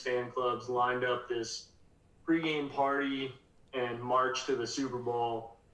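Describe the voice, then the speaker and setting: Speaking at a fairly slow pace, a man has a medium pitch. The recording carries audible room echo and noticeable background noise. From Colorado. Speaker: minor league baseball sales executive. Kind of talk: casual chat.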